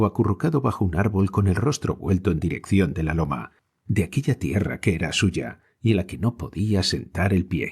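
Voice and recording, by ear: Against a quiet background, someone reads aloud in a natural voice with ordinary pitch variation.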